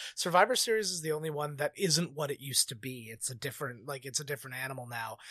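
Speaking in a Canadian accent, a man talks very fast with hardly any pauses. His tone is bright and sharp, his pitch fairly high, and his pitch variation ordinary. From Canada. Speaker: podcast judge. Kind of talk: casual chat.

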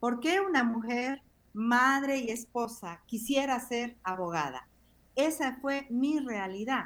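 Lively intonation marks this woman's high voice. She speaks at a very slow pace. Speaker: pastor. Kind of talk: interview.

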